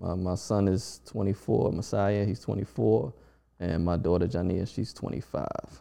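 Vocal fry runs through a dark, mellow tone with an American accent and ordinary pitch variation. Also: man, very deep, low pitch for a man, moderate pace. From Washington DC. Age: 40s. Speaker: DJ. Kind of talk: casual chat.

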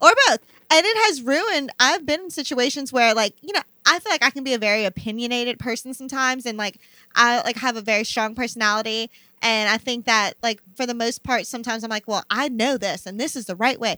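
The delivery is very fast with an American accent and a bright, sharp tone. The sound is dry and close with no echo, and the pitch varies in an ordinary way. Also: woman, high pitch for a woman. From New Orleans area, Louisiana (West Bank, Belle Chasse). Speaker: nurse practitioner. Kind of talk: casual chat.

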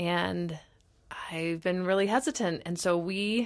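In a normal speaking voice with an American accent, a woman speaks at a fairly low pitch with fairly even intonation over a quiet background. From US South (Texas, Alabama). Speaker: entrepreneur's spouse and business partner. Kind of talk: casual chat.

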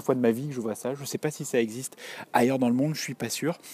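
A man speaks at a medium pitch. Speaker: podcaster correspondent. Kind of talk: audio report. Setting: theatre stairway, walking. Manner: hesitant, many fillers.

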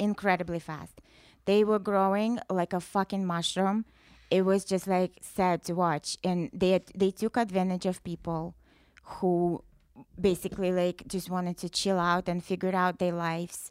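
A woman speaks with a Russian accent at a medium pitch and a moderate pace. Her intonation is monotone and flat. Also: dry, close sound with no echo. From Russia, rural wooded area. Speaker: musician, former metal band founder. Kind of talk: casual chat.

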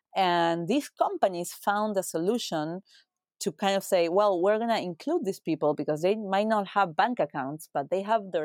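A woman's medium-pitched voice with a Spanish accent, at a moderate pace, with ordinary pitch variation and very even loudness, in a very clean recording with a silent background and a dry, close sound with no echo. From Uruguay. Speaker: retail executive. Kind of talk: interview.

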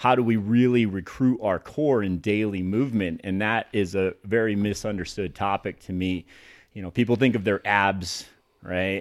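Recorded very cleanly against a silent background, a man with a fairly low pitch and an unremarkable speaking voice talks at a moderate pace with fairly even intonation. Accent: American. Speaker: personal trainer. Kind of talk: casual chat. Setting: studio.

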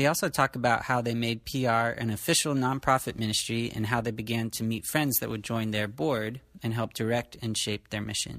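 Here is a man with a normal speaking voice, pitched in the medium range, at a moderate pace with hardly any pauses. His intonation is fairly even, and the recording is very clean with a silent background. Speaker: podcast host. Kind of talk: casual family interview. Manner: warm, conversational.

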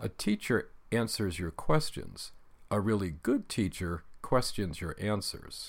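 A man with an American accent speaks fairly slowly in a fairly low voice with ordinary pitch variation, an ordinary speaking voice. The recording is very clean, with a silent background. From US Pacific Northwest. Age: 60s. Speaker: podcaster. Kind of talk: casual monologue.

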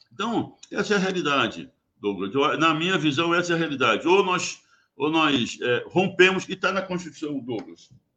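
A man's high-pitched, bright, sharp voice with lively intonation at a moderate pace. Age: 80s+. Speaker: geologist, former oil company worker. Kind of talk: radio interview.

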